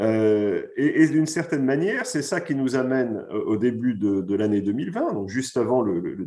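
Over a quiet background, a man talks at a moderate pace. His voice sits at a medium pitch with a dark, mellow tone. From France. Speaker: finance executive and author; guest. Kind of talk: pre-recorded conference talk. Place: home room. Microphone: video call.

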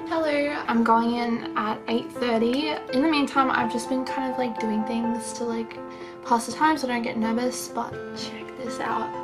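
Clear background music behind a woman speaking at a moderate pace. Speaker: vlogger. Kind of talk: casual vlog chat. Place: home room. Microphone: phone near.

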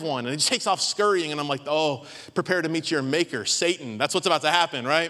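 A man's raised, projected voice, bright and sharp in tone, at a very fast pace over a quiet background. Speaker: pastor. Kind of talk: sermon. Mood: humorous. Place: church. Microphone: handheld.

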